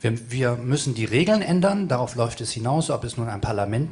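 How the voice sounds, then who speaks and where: At a moderate pace, a man speaks with a northern German accent and ordinary pitch variation. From Hamburg, northern Germany; Germany. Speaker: activist panelist; panelist. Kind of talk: panel discussion. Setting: stage with audience. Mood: provocative, slightly ironic. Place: stage. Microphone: handheld.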